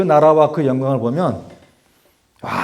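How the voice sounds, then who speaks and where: A man is speaking. Audible room echo can be heard. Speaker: preacher. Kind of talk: Bible study sermon. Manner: fast; animated.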